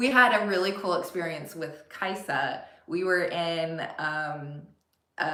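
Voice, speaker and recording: In audible room echo, a woman with an American accent speaks at a fairly slow pace in a fairly low voice. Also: ordinary pitch variation. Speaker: family travel vlogger. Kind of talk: casual chat. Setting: livestream.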